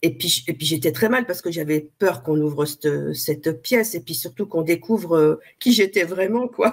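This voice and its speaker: A woman with a fairly low pitch, lively intonation and a moderate pace. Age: 60s. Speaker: interviewee, coaching client. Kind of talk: interview, personal testimony. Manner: halting, with many hesitations.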